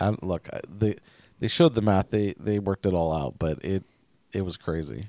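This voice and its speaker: A man with an American accent speaks at a moderate pace, his pitch very deep and low with ordinary variation. His tone is dark and mellow, and the sound is dry and close with no echo. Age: 30s. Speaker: podcast co-host. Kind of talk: casual chat.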